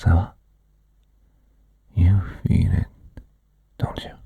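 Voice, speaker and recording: A man whispers very slowly. His tone is soothing. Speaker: hypnotist. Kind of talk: hypnosis session. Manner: commanding; soothing, slow.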